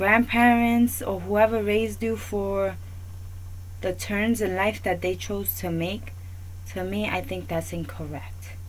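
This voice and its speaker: A woman talks in a New York accent at a fairly slow pace. Audible room echo surrounds her voice. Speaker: talk show host. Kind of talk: opinion monologue.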